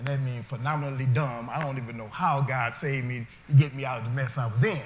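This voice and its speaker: Through audible room echo, a somewhat breathy man speaks very fast at a medium pitch with fairly even intonation. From US Midwest, Detroit. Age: 60s. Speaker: formerly incarcerated speaker. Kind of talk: testimony. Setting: stage with audience.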